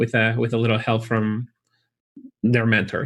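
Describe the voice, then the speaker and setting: With a Chilean accent, a man talks at a fairly quick pace and a medium pitch. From Chile (Santiago). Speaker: college recruiter for chiropractic school. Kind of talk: interview.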